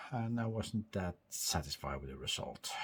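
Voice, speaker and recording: Somewhat breathy man at a moderate pace, ordinary pitch variation. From northern Norway. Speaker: tech hobbyist vlogger. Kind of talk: casual talk to camera. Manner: halting, many repeated words.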